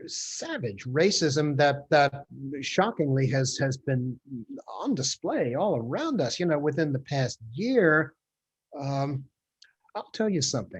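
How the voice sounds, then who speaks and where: A man with a fairly high pitch and a somewhat breathy voice speaks at a fairly slow pace, using lively intonation and long, frequent pauses. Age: 70s. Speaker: history professor. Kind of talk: Q&A answer in online talk. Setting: video call. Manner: halting, many fillers and repeats.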